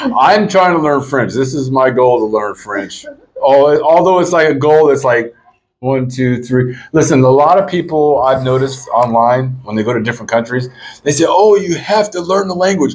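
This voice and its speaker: A man with an American accent talks in an ordinary speaking voice at a moderate pace, medium in pitch with lively intonation. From US. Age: 50s. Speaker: vlogger. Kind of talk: casual vlog chat.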